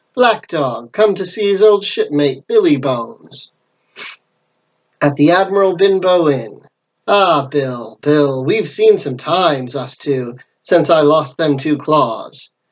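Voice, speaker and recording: Putting on a growling character voice, a man speaks at a fairly slow pace with a fairly high pitch. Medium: read story. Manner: snarling, falsely friendly.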